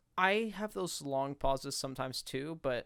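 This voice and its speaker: A man at medium pitch. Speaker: podcast co-host. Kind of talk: casual chat. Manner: fast; animated.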